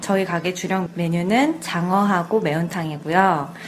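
The speaker talks at a fairly slow pace. Background noise is noticeable. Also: woman. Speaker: restaurant owner. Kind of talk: interview. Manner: fluent, articulate.

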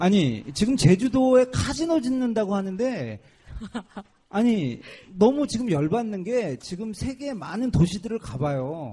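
Pitched high, a man speaks at a fairly slow pace, his voice swinging very widely up and down. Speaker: activist radio host. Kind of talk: casual chat. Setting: outdoors at construction site gate.

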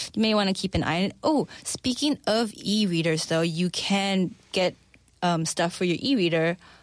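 At a fairly slow pace, an unremarkable speaking voice comes through on a very clean recording with a silent background. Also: woman. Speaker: expat life consultant. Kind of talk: radio segment chat. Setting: studio.

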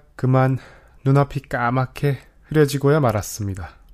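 A man with an unremarkable speaking voice, ordinary pitch variation and a moderate pace, in a dry, close sound with no echo. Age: 20s. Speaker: podcast host, university student. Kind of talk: scripted monologue radio-style.

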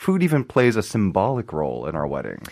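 This man's pitch swings very widely, with vocal fry. The recording is very clean, with a silent background. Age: 30s. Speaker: radio food commentator. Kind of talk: casual radio chat.

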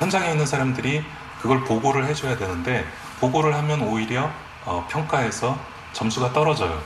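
Noticeable background noise fills the recording. The words come at a moderate pace. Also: man. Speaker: emergency medical professional. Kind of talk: interview.

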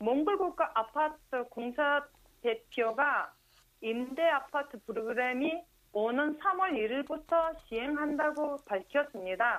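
A woman's high voice at a very slow pace, with lively intonation and very even loudness. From Mongolia. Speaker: Mongolian correspondent. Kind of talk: news reading.

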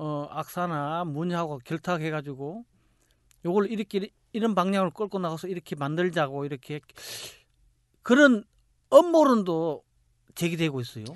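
Against a quiet background with a dry, close sound with no echo, a high-voiced man speaks at a moderate pace with long, frequent pauses, big swings in loudness and lively intonation. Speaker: podcast host. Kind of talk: podcast discussion.

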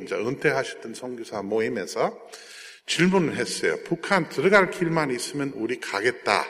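Speaking with a Jeolla accent, a man keeps a moderate pace. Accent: Jeolla dialect Korean. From South Korea, Jeolla region (American missionary family). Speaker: missionary and aid organization director. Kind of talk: church talk with slide presentation.

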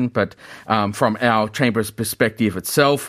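At a moderate pace, a man with a medium pitch speaks with ordinary pitch variation on a very clean recording with a silent background. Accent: Australian. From Australia. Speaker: business chamber executive. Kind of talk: radio interview. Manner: hesitant, many fillers.

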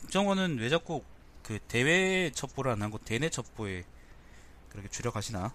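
Very wide pitch swings mark a man's voice. He talks at a fairly quick pace. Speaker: news briefing host. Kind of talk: casual news briefing, reading headlines with commentary. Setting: home recording, very early morning. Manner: casual, opinionated, candid.

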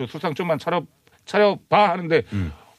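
His pitch leaping across a very wide range, a man talks at a fairly quick pace. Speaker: comedian. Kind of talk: casual chat.

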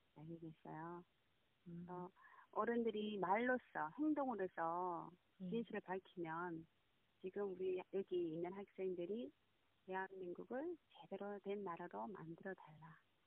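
Very slow speech from a woman, medium in pitch. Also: ordinary pitch variation, big swings in loudness. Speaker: bereaved mother. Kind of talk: phone interview. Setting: phone call.

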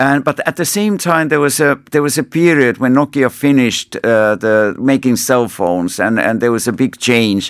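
Speaking at a moderate pace with hardly any pauses, a man with a Finnish accent keeps a medium pitch, lively intonation and very even loudness. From Finland. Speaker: ambassador. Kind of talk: interview. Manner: halting.

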